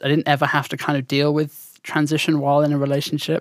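A woman's very deep, low voice with a southern English accent, flat monotone intonation and a fairly quick pace. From southern England. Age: 20s. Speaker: podcast co-host, streamer. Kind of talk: casual chat. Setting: remote call.

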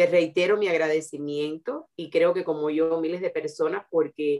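A woman is speaking. Her pace is fairly slow. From Cuba. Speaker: host's mother. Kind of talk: interview.

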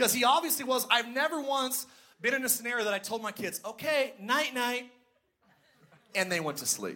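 Raising and projecting his voice, a man speaks at an extremely high pitch in a bright, sharp tone, going at a fairly quick pace broken by long, frequent pauses. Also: ordinary pitch variation. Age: 30s. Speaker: pastor. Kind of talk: sermon with stand-up style jokes about parenting. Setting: church with live audience.

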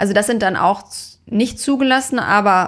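A woman's normal speaking voice at a moderate pace with ordinary pitch variation. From Dortmund, Ruhr area, Germany. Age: 20s. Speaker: dermatologist and startup founder. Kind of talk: casual interview.

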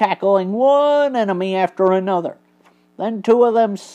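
What we hear is an unforced reading voice.

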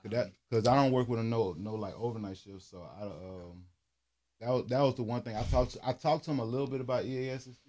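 A man speaks very fast at a medium pitch with a dark, mellow tone, ordinary pitch variation, and big swings in loudness. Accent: Southern US. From Louisiana. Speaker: podcast host. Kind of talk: casual chat.

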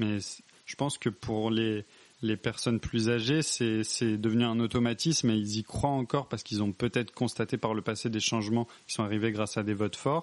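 This man has an unremarkable speaking voice at a medium pitch. He talks at a moderate pace. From France, rural area. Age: 20s. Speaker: civil servant. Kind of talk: casual interview.

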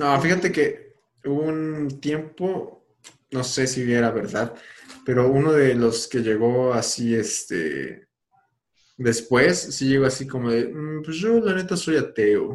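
A man with a Mexican accent, lively intonation and a very slow pace. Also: medium pitch for a man. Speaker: podcast host. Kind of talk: casual chat.

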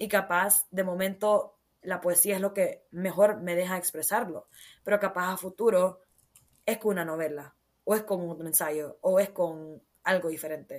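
Her pace is fairly slow. The woman speaks at a medium pitch with fairly even intonation. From Honduras. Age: 20s. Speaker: poet and author. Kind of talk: casual interview.

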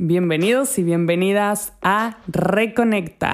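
A woman's medium-pitched voice comes through with music playing behind it. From Spain, Andalusia. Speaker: health coach, podcast host. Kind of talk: podcast monologue. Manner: friendly.

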